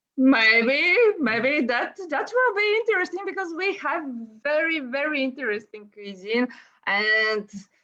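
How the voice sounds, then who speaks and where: Speaking very slowly in a Bulgarian accent, a woman lets her pitch swing very widely. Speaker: gaming YouTuber. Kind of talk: casual chat. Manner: halting.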